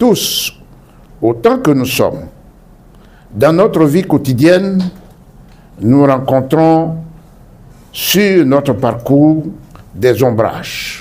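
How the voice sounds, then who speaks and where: In an Ivorian accent, a man speaks very slowly at a fairly high pitch, with lively intonation, very even loudness and long, frequent pauses. Audible room echo surrounds his voice. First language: Baoulé (speaking French). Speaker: author. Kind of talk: formal speech. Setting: bookshop event hall with audience. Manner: formal.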